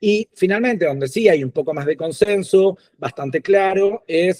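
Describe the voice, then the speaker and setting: A man talks at a moderate pace in a dark, mellow tone with ordinary pitch variation. The sound is dry and close, with no echo. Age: 40s. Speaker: doctoral candidate. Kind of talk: thesis defense presentation. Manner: hesitant with fillers.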